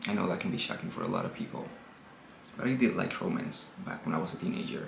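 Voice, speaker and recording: Noticeable background noise accompanies speech delivered with lively intonation. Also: man. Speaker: book reviewer video host. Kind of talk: casual talk to camera.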